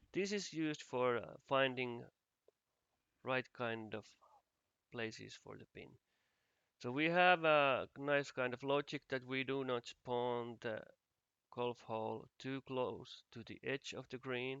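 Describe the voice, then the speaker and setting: A man with a Finnish accent talks at a very slow pace with long, frequent pauses, ordinary pitch variation, big swings in loudness, and a bright, sharp tone in a dry, close sound with no echo. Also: medium pitch for a man. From Finland. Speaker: game asset developer. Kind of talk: tutorial. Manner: halting.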